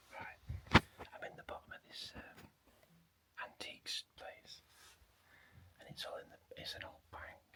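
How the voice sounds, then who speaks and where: Whispering in a South Yorkshire accent, a man goes at a fairly slow pace with long, frequent pauses and big swings in loudness over noticeable background noise. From northern England (Maltby, South Yorkshire). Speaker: travel vlogger. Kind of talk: casual vlog narration.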